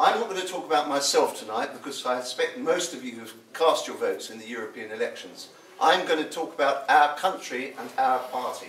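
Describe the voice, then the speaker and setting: Over noticeable background noise, a man speaks fairly quickly with big swings in loudness. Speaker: political speaker, writer and historian. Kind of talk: political speech at public meeting. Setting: hotel meeting room with audience.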